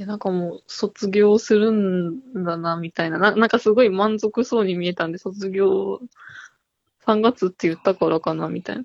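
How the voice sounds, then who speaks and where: Recorded with a dry, close sound and no echo, a woman speaks at a moderate pace and medium pitch with ordinary pitch variation. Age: 20s. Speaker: caller seeking a tarot reading. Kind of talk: casual chat. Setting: phone call. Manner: halting. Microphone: good phone line quality.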